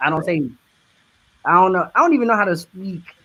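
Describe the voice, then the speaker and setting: A man speaks with a high pitch and a Southern US accent. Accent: Southern twang. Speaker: media industry professional. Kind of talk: casual chat.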